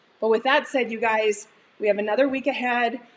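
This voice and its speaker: Noticeable background noise sits behind a woman's fairly high voice. Her pitch varies in an ordinary way. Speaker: cooking show host. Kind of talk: live cooking stream wrap-up. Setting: home studio kitchen. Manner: animated.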